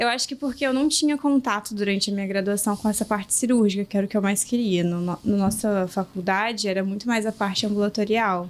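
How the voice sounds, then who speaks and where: Speaking very fast with hardly any pauses, a woman keeps a medium pitch and ordinary pitch variation. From Rio de Janeiro state interior (Itaperuna). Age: 20s. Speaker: medical resident in gynecology. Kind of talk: podcast interview.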